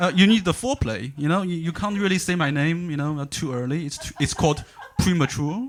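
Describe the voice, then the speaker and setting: A man with a Chinese accent talks in a high pitch. His intonation is lively. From China. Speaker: stand-up comedian. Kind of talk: stand-up. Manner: halting, many fillers and repeats.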